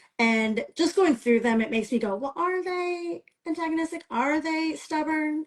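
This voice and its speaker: A woman talks with a Midwestern American accent at a moderate pace. Her pitch swings very widely. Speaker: romance author. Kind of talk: interview. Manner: casual, with many fillers.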